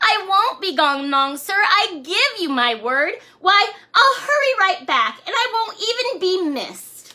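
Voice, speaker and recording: Using a put-on character voice, the speaker goes at a fairly slow pace with very wide pitch swings. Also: woman, extremely high pitch for a woman. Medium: read story. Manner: wheedling.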